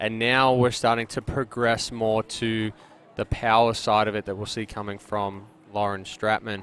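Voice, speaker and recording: The speaker has an Australian accent and keeps a moderate pace. The intonation is monotone and flat. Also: man, fairly low pitch for a man. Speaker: sports commentator. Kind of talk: live commentary. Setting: commentary booth at outdoor tournament.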